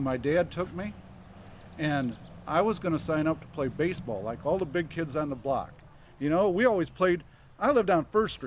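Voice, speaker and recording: A man with a Midwestern US accent, lively intonation and a moderate pace. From Michigan. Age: 70s. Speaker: local resident speaker. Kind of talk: public speech. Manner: casual.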